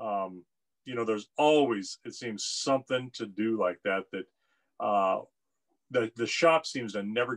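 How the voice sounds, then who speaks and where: Nothing much stirs in the background. His pitch moves in an ordinary way as the man talks. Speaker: guest. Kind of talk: casual conversation. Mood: relaxed, occasional laughs. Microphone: video call.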